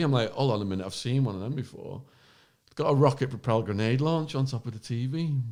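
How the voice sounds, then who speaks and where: With an English accent, a man races along at a very fast pace with lively intonation, in a very clean recording with a silent background. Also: big swings in loudness. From northern England, Widnes. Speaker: former drug smuggler, true crime podcaster. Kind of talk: casual chat. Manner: animated.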